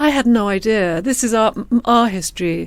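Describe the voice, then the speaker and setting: Moderate-paced speech from a woman with an English accent and ordinary pitch variation. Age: 50s. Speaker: screenwriter and novelist. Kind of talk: interview. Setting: podcast. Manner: halting, many fillers.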